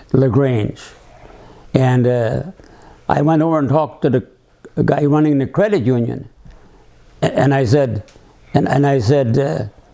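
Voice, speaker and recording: A man with a fairly high pitch and ordinary pitch variation at a moderate pace, with noticeable background noise. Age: 80s+. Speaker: navy submarine veteran, business owner. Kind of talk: personal life memoir, reminiscing to camera.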